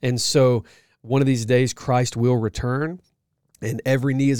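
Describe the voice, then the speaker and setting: On a very clean recording with a silent background, a man with a normal speaking voice talks at medium pitch and a fairly quick pace, with fairly even intonation. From US South, Georgia (outskirts of Atlanta). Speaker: pastor and ministry leader, podcast co-host. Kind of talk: casual chat.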